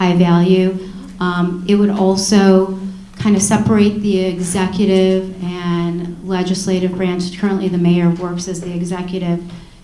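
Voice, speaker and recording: Her intonation monotone and flat, a woman talks amid noticeable background noise and audible room echo. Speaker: council member. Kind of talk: answering question at town hall.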